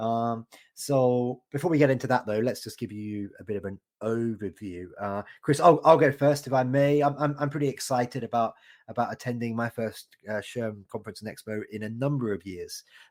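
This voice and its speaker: A man with a British accent speaks at medium pitch and a moderate pace. His loudness swings widely, pitch variation is ordinary, and the recording is very clean with a silent background. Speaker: podcast host. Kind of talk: casual chat. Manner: hesitant, many fillers.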